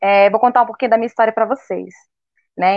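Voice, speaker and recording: Here a woman is speaking. Her intonation stays monotone and flat. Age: 30s. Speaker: nursing student, cancer survivor. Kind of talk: personal testimony.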